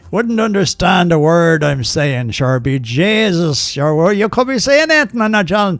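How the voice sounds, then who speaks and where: This man's high voice makes very wide pitch swings. He keeps his loudness very even and hardly pauses at all. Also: moderate pace. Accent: strong Irish. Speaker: gaming streamer. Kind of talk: live gaming stream commentary.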